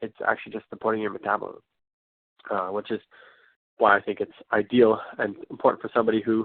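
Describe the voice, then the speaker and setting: Speaking at a very fast pace yet with long, frequent pauses, a man holds a monotone, flat intonation at a fairly low pitch. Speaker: wellness class presenter. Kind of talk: online class presentation. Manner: hesitant, many fillers.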